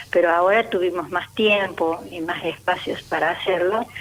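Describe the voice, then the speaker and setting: A woman speaks at a fairly slow pace in a medium pitch, her intonation fairly even, with noticeable background noise behind her. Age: 70s. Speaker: retired teacher and author. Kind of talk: radio interview. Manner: halting.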